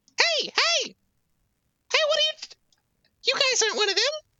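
A put-on character voice is heard. Its pitch is extremely high. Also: moderate pace. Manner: startled, suspicious.

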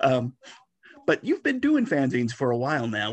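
A man with a plain, everyday voice, fairly high pitch and lively intonation at a moderate pace, in a dry, close sound with no echo. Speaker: fanzine editor interviewer. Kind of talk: casual interview.

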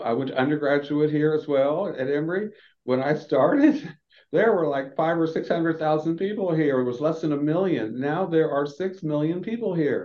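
A man talks at a moderate pace with a fairly high pitch. It is a normal speaking voice, with ordinary pitch variation. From US Southeast, Florida. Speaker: dentist and health equity advocate. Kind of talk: interview conversation.

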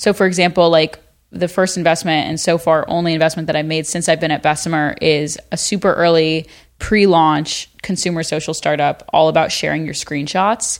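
Heard on a very clean recording with a silent background, a woman uses a normal speaking voice at a fairly low pitch, a moderate pace and fairly even intonation. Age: 20s. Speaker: venture capital investor and university student. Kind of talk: casual chat. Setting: in person in the hosts' headquarters.

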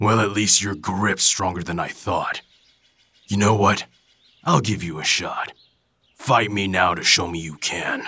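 A raspy man speaks with long, frequent pauses. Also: fairly low pitch for a man, moderate pace. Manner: gruff, blunt, mocking.

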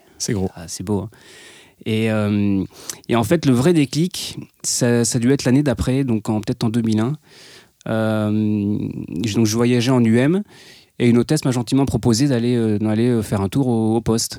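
On a very clean, dry and close recording with a silent background and no echo, a man speaks at medium pitch in a dark, mellow tone. He goes at a fairly slow pace with long, frequent pauses and ordinary pitch variation. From France, Nevers. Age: 30s. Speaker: airline co-pilot. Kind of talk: casual interview.

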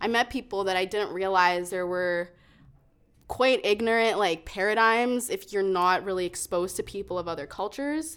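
The recording is very clean, with a silent background. A woman with a western Canadian accent talks at a moderate pace with ordinary pitch variation. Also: medium pitch for a woman. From Calgary, Canada. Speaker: poet and open mic host. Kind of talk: casual chat.

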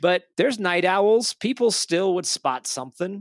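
Recorded very cleanly with a silent background, a man's voice has a dry, close sound with no echo. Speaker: podcast co-host. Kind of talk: casual chat.

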